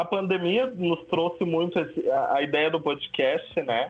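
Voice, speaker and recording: With a southern Brazilian accent, a man talks at a moderate pace in a high pitch, against noticeable background noise. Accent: gaúcho Brazilian Portuguese. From southern Brazil, São Leopoldo (Rio Grande do Sul). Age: 20s. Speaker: actor and photographer. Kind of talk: casual interview chat.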